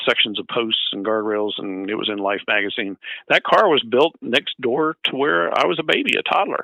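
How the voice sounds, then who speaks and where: Speaking at a moderate pace and medium pitch, this man has an unremarkable speaking voice. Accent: American. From US South, Georgia (Atlanta area). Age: 60s. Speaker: retired raceway president. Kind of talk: radio interview. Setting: phone call.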